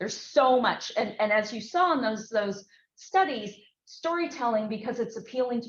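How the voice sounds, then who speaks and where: A woman with an American accent speaks at a moderate pace in a fairly high pitch. Audible room echo surrounds her voice. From US West Coast (Berkeley, California). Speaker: researcher and former film executive. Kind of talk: lecture. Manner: loud.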